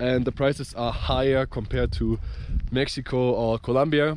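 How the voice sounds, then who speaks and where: A man with a German accent speaks at a moderate pace. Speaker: travel vlogger. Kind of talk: travel vlog. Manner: halting, many fillers.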